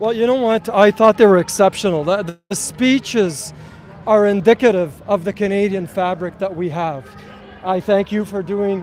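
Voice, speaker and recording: The voice moves along at a moderate pace. Behind it, music is playing. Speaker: protest movement organizer. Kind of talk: crowd address; street interview at a rally. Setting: outdoors at a street march. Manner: loud.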